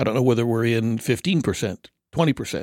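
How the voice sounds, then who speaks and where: In a very clean recording with a silent background and a dry, close sound with no echo, a man with an American accent has an unremarkable speaking voice, medium in pitch with ordinary pitch variation. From California. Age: 60s. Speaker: guest co-host. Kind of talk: casual chat.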